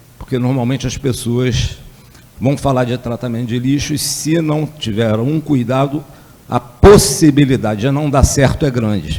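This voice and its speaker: A man talks fairly slowly at a medium pitch, with ordinary pitch variation. Noticeable background noise runs under his voice. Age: 60s. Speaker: energy researcher. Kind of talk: lecture. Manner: hesitant, with fillers.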